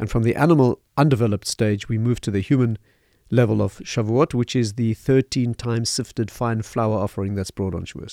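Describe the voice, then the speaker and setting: Over a silent background in a very clean recording, the voice moves at a fairly quick pace with a dark, mellow tone, fairly even intonation, and a dry, close sound with no echo. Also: man, medium pitch for a man. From South Africa, Johannesburg. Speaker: rabbi and lecturer. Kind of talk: lecture-style interview answers. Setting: studio.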